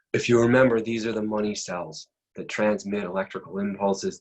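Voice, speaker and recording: A man with a normal speaking voice talks at a fairly quick pace, his pitch fairly low. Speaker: anatomy and physiology instructor. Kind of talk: lecture.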